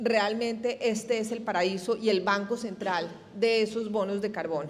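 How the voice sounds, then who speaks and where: This woman has a Colombian accent and ordinary pitch variation. She speaks at a fairly slow pace. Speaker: energy industry representative. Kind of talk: panel discussion.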